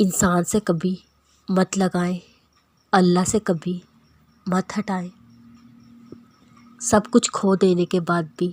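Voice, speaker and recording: In a very clean recording with a silent background and a dry, close sound with no echo, a woman speaks at a medium pitch, somewhat breathy and monotone with flat intonation. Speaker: voice-over narrator. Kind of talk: Islamic quotes narration.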